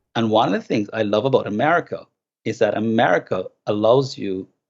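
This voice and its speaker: Speaking at a moderate pace in a Jamaican accent, a man uses a medium pitch and fairly even intonation. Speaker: philosophy professor and author. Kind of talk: interview conversation.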